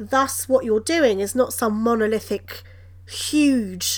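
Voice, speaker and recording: At a fairly slow pace, a woman speaks with a British accent in a very clean recording with a silent background. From Britain. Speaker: coaching psychologist. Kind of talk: interview.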